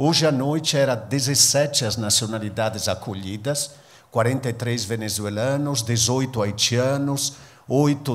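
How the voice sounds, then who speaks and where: In an Italian accent, a man speaks with fairly even intonation, and room echo is audible. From northern Italy, near Venice. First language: Italian (speaking Portuguese). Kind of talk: public talk. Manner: halting.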